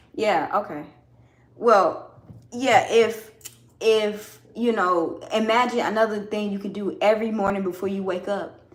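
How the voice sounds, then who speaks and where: Against audible room echo, a woman in an American accent talks at a moderate pace and a medium pitch. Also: long, frequent pauses. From US South, Georgia. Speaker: farmer and soap maker livestreaming. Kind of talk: casual livestream chat with viewers. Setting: home livestream while washing carrots. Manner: casual, with hesitations and repetitions.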